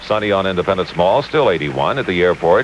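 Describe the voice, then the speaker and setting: Over noticeable background noise, a man with a very deep, low pitch speaks at a very fast pace. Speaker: news anchor. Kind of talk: radio weather report read.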